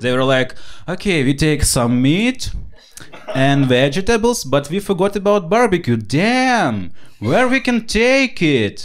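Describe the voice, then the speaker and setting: A man with a Ukrainian accent talks in a high pitch at a fairly slow pace. His pitch swings very widely while his loudness stays very even. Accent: non-native English, Ukrainian. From Ukraine. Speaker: stand-up comedian. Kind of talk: stand-up comedy set.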